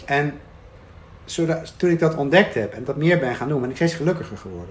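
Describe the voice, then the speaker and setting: A man speaks at a fairly quick pace. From Netherlands, Arnhem. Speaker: coach and writer. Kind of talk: casual chat. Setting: rooftop in Amsterdam.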